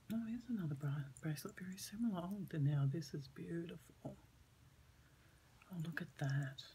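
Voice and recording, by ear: Somewhat breathy and dark, mellow in tone, a woman with a fairly low pitch speaks at a moderate pace with ordinary pitch variation and long, frequent pauses.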